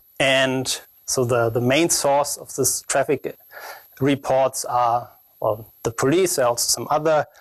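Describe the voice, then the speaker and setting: A man with a strong German accent talks fairly slowly with fairly even intonation, in a dry, close sound with no echo. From Germany. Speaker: security researcher. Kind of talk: conference talk. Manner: halting, many fillers.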